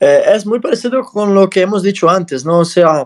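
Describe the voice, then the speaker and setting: A man talks at a moderate pace in a high voice whose pitch varies in an ordinary way. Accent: non-native. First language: not Spanish (speaking Spanish). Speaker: podcast host. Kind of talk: interview. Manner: halting.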